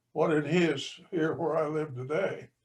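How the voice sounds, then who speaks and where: An American accent at a fairly slow pace, with ordinary pitch variation. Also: man. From southwestern Kansas. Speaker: audience member. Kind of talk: audience question. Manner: halting.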